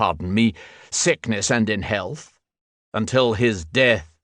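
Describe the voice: A quiet background behind plain reading aloud, with ordinary pitch variation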